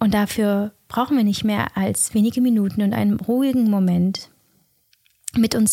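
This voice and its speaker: A somewhat breathy woman's voice at medium pitch, with a dark, mellow tone, a calm, soothing tone, fairly even intonation and a fairly slow pace. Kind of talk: guided meditation. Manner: slow, soft-spoken, calm and soothing with long pauses; gentle, warm, intimate, addressing listener directly as du.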